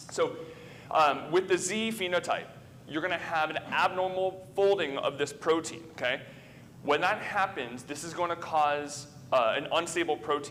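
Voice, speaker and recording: Background noise is noticeable. The pitch varies in an ordinary way. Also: man, high pitch for a man. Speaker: physician lecturer. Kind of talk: lecture. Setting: conference room with audience. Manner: fast; filler-heavy, conversational.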